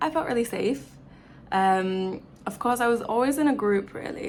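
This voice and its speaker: The speaker has an English accent and a moderate pace, with very wide pitch swings. Audible room echo surrounds the voice. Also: woman. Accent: English accent, noticeable to Brazilians. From England. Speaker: travel vlogger. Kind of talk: casual chat. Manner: casual, filler-heavy.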